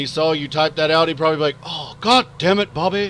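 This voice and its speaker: With a Texas accent and a bright, sharp tone, a man speaks very fast at a fairly high pitch with ordinary pitch variation. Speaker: video game streamer. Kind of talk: live stream commentary.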